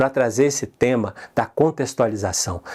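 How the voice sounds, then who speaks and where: A man with a Minas Gerais accent is heard on a very clean recording with a silent background. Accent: Minas Gerais (mineiro). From Brazil, Minas Gerais. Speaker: conference host. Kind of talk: conference opening address.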